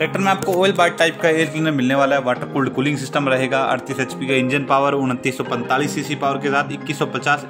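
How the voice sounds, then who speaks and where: With clear music in the background, a man talks at a fairly quick pace with hardly any pauses. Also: ordinary pitch variation, very even loudness. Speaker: tractor reviewer. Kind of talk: product review commentary. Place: open country. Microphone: phone near.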